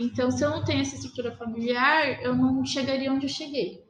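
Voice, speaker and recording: A woman talks at a fairly quick pace. Noticeable background noise runs beneath her voice. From Brazil, São Paulo coast (Itanhaém area). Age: 30s. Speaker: small business owner. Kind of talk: interview. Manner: casual.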